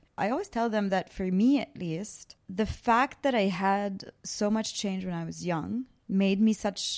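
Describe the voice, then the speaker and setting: A woman speaks with a plain, everyday voice at a medium pitch and a fairly slow pace. Her pitch varies in an ordinary way, and the recording is very clean with a silent background. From Lebanon and Canada. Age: 30s. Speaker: podcast host. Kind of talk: casual interview. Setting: her childhood home in Beirut.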